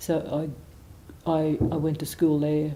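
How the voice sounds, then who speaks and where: A woman's very deep, low voice with a dark, mellow tone, monotone, flat intonation and a very slow pace. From Australia, Gold Coast, Queensland. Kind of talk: biographical interview. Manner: halting, many fillers.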